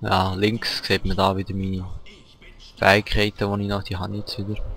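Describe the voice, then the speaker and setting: With a Swiss accent, a man of fairly low pitch speaks at a moderate pace in a monotone, flat intonation. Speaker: let's player. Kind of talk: casual gameplay commentary.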